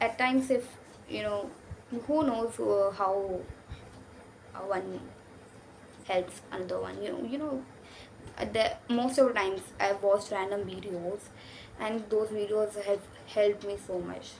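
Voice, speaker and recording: Using an Indian accent, a woman speaks at a fairly slow pace with ordinary pitch variation and long, frequent pauses. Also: medium pitch for a woman. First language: Hindi. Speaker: YouTuber. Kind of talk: casual vlog talk. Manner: halting.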